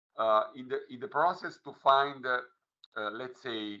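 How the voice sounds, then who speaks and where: In an Italian accent, a man of medium pitch speaks at a moderate pace. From Italy. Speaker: legal official. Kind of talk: workshop presentation. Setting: online video meeting. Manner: halting, many fillers.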